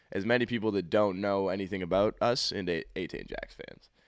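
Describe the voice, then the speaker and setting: A man speaks in a fairly low pitch with ordinary pitch variation and an unremarkable speaking voice. The recording is very clean, with a silent background. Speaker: musician. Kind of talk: casual chat.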